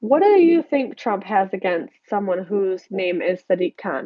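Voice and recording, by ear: In a dry, close sound with no echo, a woman with an American accent talks fairly slowly at a medium pitch, nasal and with vocal fry.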